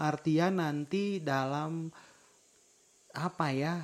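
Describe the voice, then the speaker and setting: A man is talking. His voice sits high for a man. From West Java, Indonesia. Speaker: podcast co-host. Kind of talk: casual chat.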